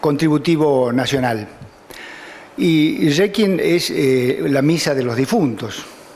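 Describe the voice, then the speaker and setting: A man's fairly high voice with lively intonation at a very slow pace, amid noticeable background noise and audible room echo. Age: 60s. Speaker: judge. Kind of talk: lecture. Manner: halting.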